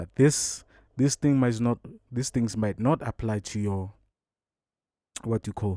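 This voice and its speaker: On a very clean recording with a silent background and a dry, close sound with no echo, a man with a dark, mellow tone speaks at a very slow pace with fairly even intonation. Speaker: music producer. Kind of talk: tutorial. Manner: casual.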